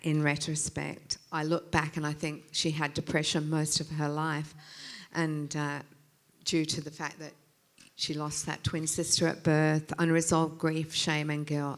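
With an Australian accent, a woman speaks in a very deep, low pitch at a fairly slow pace and in a flat monotone, on a very clean recording with a silent background. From England, moved to Australia as a child. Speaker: pastor. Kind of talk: sermon.

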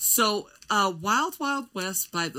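On a very clean recording with a silent background, a woman speaks loudly at medium pitch and a very slow pace, her tone bright and sharp and her intonation lively. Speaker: podcast co-host. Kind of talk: casual chat. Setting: studio.

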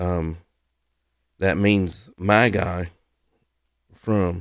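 A man with a Southern US accent and fairly even intonation, on a very clean recording with a silent background. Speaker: podcast host and ministry leader for firefighters. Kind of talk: devotional Bible lesson. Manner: halting with many fillers.

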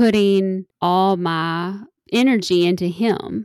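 A woman with a Kentucky accent and ordinary pitch variation, on a very clean recording with a silent background. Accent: Kentucky Southern. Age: 40s. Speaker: model and influencer. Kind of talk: casual interview.

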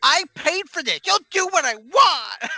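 A put-on character voice, extremely high-pitched and whiny in tone, at a fairly slow pace. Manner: whiny, complaining, entitled.

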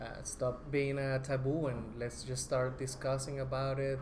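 With a Spanish accent and audible room echo, a man speaks at a fairly slow pace, medium in pitch and monotone, with flat intonation. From Colombia, Bogota. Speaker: documentary filmmaker. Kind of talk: media roundtable talk.

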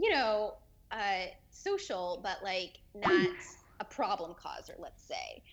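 Speaking very slowly, a woman's voice shows big swings in loudness. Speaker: former theme park cast member. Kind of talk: casual chat.

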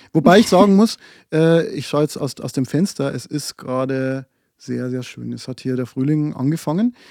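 In a dark, mellow tone, a fairly high-pitched man speaks at a moderate pace with ordinary pitch variation and big swings in loudness, in a dry, close sound with no echo on a very clean recording with a silent background. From Bavarian Forest, Lower Bavaria. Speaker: podcast co-host. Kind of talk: casual chat. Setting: small storage room, built-in bookcase.

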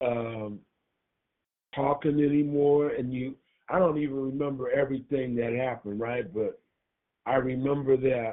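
At a moderate pace, a man speaks in a medium pitch with fairly even intonation and long, frequent pauses. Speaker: caller. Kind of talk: casual chat. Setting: phone call. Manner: halting.

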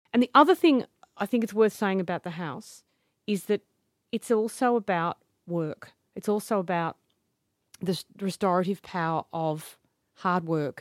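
Heard on a very clean recording with a silent background and a dry, close sound with no echo, a woman with an Australian accent speaks at medium pitch and a moderate pace, with ordinary pitch variation and long, frequent pauses. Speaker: playwright. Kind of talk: interview. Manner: casual, hesitant with repeated words.

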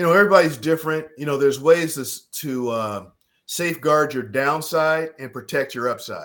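A man with an ordinary speaking voice talks at a moderate pace in a fairly high pitch, with big swings in loudness. The recording is very clean, with a silent background. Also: ordinary pitch variation. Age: 60s. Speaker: financial advisor. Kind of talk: casual chat.

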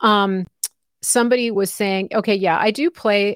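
A woman with an American accent and an unremarkable speaking voice talks at a moderate pace and medium pitch with fairly even intonation, the recording very clean with a silent background and a dry, close sound with no echo. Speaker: independent journalist and commentator. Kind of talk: live interview. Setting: live stream.

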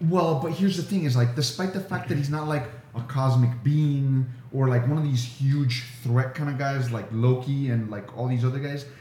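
Noticeable background noise surrounds a man speaking at a moderate pace. His pitch is medium, with ordinary pitch variation. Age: 40s. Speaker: podcast co-host. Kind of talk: casual chat.

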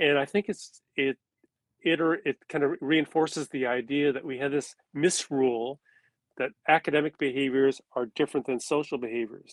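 With an American accent, a man talks at a moderate pace in an unremarkable speaking voice, fairly high in pitch. His intonation is fairly even, and the sound is dry and close with no echo. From California. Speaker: retired education professor. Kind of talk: interview.

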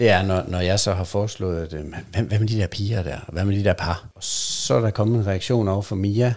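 Speaking at a moderate pace, a man's voice sits very deep and low, with ordinary pitch variation. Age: 40s. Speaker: podcast guest in an open relationship. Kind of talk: casual interview.

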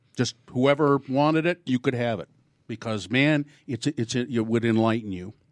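A man with an American accent has a normal speaking voice at medium pitch. He talks at a moderate pace, his pitch varying in an ordinary way. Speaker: podcast host. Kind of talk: casual chat.

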